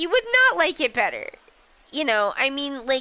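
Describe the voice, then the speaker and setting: In an American accent, a woman uses a raised, projected voice. Her pitch is high and her tone bright and sharp. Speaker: voices game characters. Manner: casual, many filler words.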